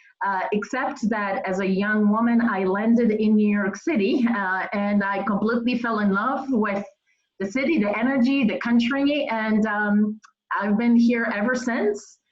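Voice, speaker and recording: A woman's fairly high voice with a Polish accent, fairly even intonation and a fairly slow pace. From Poland. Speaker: nonprofit executive. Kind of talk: interview.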